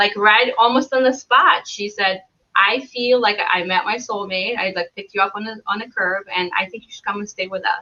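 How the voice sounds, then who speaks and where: A medium-pitched woman at a moderate pace, with ordinary pitch variation, big swings in loudness and hardly any pauses. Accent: Belarusian. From Belarus. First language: Belarusian or Russian. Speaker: travel blogger. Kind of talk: casual interview chat.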